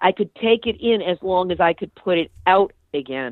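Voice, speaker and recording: Her voice has a medium pitch and ordinary pitch variation. The woman talks at a moderate pace. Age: 60s. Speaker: nuclear activist, podcast host and author. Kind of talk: interview. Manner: animated.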